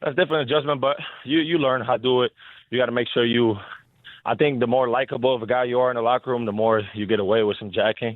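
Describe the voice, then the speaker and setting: A man with a Spanish accent, medium in pitch, at a very fast pace with ordinary pitch variation. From Dominican Republic and Belgium. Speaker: professional basketball player. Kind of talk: radio interview.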